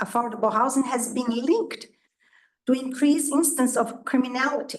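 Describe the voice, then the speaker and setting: Speaking at a moderate pace with a non-native accent, a woman uses a high pitch and fairly even intonation. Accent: noticeable foreign. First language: not English. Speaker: resident speaking at public comment. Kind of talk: public comment at a board meeting. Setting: township board meeting. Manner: somewhat halting.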